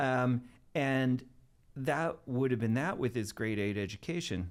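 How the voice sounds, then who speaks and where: Speaking with a Maritime Canadian accent, a man talks fairly slowly at a medium pitch, with ordinary pitch variation and very even loudness. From Canada, Nova Scotia (Halifax area). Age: 60s. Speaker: TV producer and filmmaker. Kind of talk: podcast interview storytelling.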